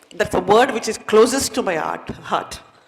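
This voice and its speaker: Audible room echo surrounds a woman's voice. She speaks at a moderate pace in a Tamil Indian accent. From India, Nilgiri Hills, Tamil Nadu. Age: 60s. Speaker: retired educator, chief guest speaker. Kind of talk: motivational speech. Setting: stage with audience. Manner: animated.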